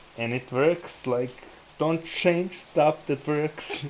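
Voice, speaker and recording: Against noticeable background noise, a man with a fairly high pitch speaks at a very slow pace. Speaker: day trader, livestream host. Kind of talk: casual chat over live trading. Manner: stuttering.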